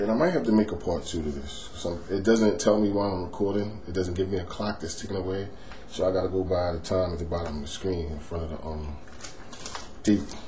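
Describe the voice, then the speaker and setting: Very fast speech from a man with a very deep, low pitch and ordinary pitch variation, plus audible room echo and noticeable background noise. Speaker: finance vlogger. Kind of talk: tutorial. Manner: softer than natural tone; hesitant, many fillers.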